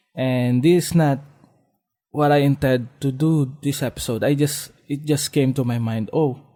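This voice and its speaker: In a very clean recording with a silent background, a man with a non-native accent speaks at a fairly slow pace. His fairly high voice has a dark, mellow tone and fairly even intonation. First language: Filipino. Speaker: podcast host. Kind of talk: solo podcast monologue. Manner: halting, many fillers and restarts.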